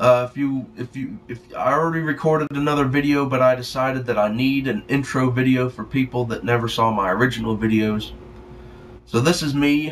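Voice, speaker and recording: A man's medium-pitched voice varies in an ordinary way as he speaks fairly quickly. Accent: Southern US. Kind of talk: casual talk to camera, rant. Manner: rambling, profane.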